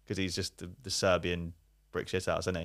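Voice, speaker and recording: Recorded very cleanly over a silent background, a man talks with an East Midlands accent. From Leicester, England. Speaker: YouTuber. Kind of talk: casual chat.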